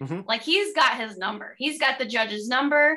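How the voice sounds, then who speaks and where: A woman projects a raised voice with a bright, sharp tone, high in pitch with ordinary pitch variation. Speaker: film podcast co-host. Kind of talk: casual chat.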